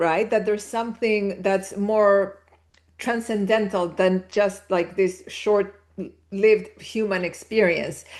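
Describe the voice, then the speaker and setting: A woman speaks with a Spanish accent at a fairly slow pace. Her pitch is fairly high. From Chile. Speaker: spiritual teacher. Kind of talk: interview conversation.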